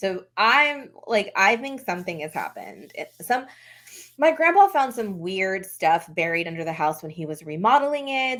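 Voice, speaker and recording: A woman with an American accent and an unremarkable speaking voice, medium in pitch, lively in intonation, at a moderate pace, on a very clean recording with a silent background. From West Texas. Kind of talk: ghost story told in conversation.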